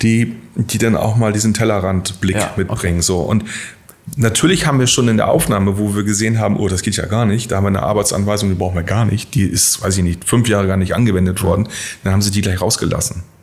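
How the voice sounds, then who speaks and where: A man at a fairly low pitch and a very fast pace, with fairly even intonation and very even loudness, against noticeable background noise. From northern Germany, near Bremen. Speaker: bank executive. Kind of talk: interview. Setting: studio.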